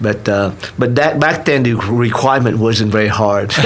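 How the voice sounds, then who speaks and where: At a fairly slow pace and very even loudness, a man with a Vietnamese accent talks over noticeable background noise with audible room echo. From Vietnam, raised in Tulsa from age 13. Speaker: restaurant owner. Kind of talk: interview. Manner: halting, many fillers and restarts.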